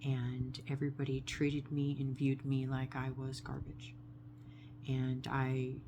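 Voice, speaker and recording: A woman's very deep, low voice, monotone and flat, at a fairly slow pace with audible room echo. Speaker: vlogger sharing personal story. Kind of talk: personal testimony monologue.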